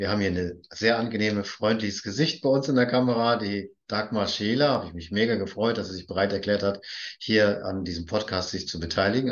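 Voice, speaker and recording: At a fairly quick pace, the speaker uses an ordinary speaking voice with ordinary pitch variation. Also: man. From northern Germany, Baltic coast. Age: 50s. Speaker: podcast host. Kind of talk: interview.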